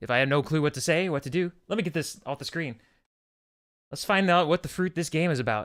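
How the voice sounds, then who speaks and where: This man talks very fast. His voice sits fairly high. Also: ordinary pitch variation. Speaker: game streamer. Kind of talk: live gameplay commentary. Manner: loud.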